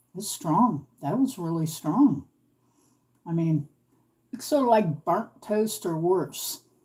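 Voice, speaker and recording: A woman speaks at a very slow pace with long, frequent pauses, her fairly low, somewhat breathy voice dark and mellow in tone and swinging very widely in pitch. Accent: American. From US, East Coast Virginia. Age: 50s. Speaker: craft livestreamer. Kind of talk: live craft stream chat. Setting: livestream from home. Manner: casual, chatty. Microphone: new laptop, audio trouble.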